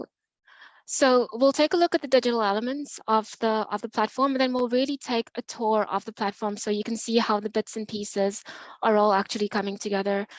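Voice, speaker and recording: At a fairly quick pace and fairly high pitch, a woman speaks with ordinary pitch variation, her sound dry and close with no echo over a quiet background. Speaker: nonprofit program manager. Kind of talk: presentation at online meeting. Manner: fast.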